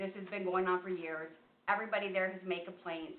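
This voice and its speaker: A woman talks with audible room echo around her. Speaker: resident speaking at public comment. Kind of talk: public comment at council meeting. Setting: council meeting room, seated. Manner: loud.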